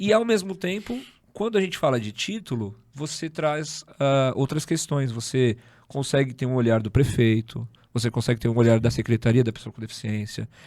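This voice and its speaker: On a very clean recording with a silent background, a man with an unremarkable speaking voice talks at a medium pitch and moderate pace, his intonation lively. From São Paulo, Zona Norte. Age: 30s. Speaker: podcast host. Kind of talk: casual interview chat.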